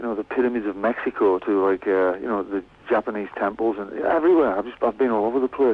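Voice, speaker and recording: Here a man speaks with a Cumbrian accent at a fairly quick pace. His pitch is medium, with ordinary variation. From West Cumbria, northern England. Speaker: musician. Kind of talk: radio interview. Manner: halting, many repeated words.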